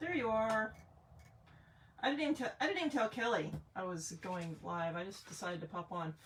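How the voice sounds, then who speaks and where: A woman's medium-pitched voice at a fairly quick pace, with very wide pitch swings and long, frequent pauses. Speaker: craft demonstrator on live stream. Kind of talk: live craft tutorial. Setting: live video stream. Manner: casual.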